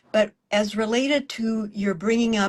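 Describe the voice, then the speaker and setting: A woman with an American accent talks at a medium pitch in a somewhat breathy voice, with a quiet background. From South Texas. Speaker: interviewer. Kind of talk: interview conversation.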